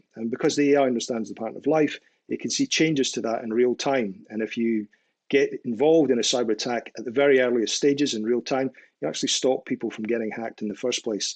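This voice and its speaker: Speaking very fast with a Scottish accent and ordinary pitch variation, a man comes through in a dry, close sound with no echo against a quiet background. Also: medium pitch for a man. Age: old. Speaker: cybersecurity expert. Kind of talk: interview.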